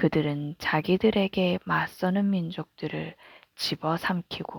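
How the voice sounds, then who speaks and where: A woman's fairly low, calm and soothing voice at a very slow pace with fairly even intonation, recorded very cleanly against a silent background, with a dry, close sound and no echo. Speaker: mother reading aloud. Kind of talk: Bible reading. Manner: calm, soothing.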